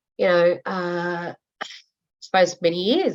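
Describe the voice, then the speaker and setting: Here is a woman speaking. She has an Australian accent. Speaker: coaching group member. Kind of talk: group coaching call. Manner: loud.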